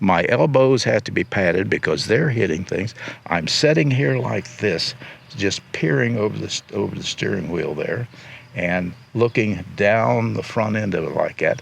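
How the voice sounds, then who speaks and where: The voice has an American accent and very wide pitch swings. It moves at a moderate pace over noticeable background noise. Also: man, fairly low pitch for a man. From Ohio. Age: 80s+. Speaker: recumbent bike designer and racer. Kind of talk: interview answer. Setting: outdoors.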